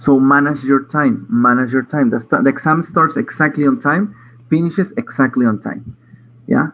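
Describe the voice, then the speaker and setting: A man speaks at a moderate pace and a fairly high pitch, using a normal speaking voice and lively intonation. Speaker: English teacher. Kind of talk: online class instructions.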